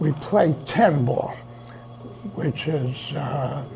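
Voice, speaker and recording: Against noticeable background noise, a man with a New York accent speaks at a very slow pace in a fairly high pitch. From New York City, the Bronx. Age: 80s+. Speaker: billiards club president. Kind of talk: interview.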